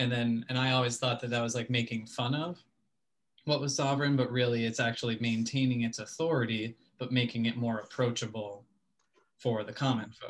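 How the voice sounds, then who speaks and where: A man's somewhat breathy, monotone, flat delivery at a fairly quick pace. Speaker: audience participant. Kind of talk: question and answer. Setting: video call. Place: home room. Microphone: video call.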